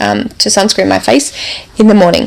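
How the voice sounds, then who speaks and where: A woman speaks with an Australian accent. There is noticeable background noise. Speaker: podcast host, neurodiversity coach. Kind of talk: solo podcast talk.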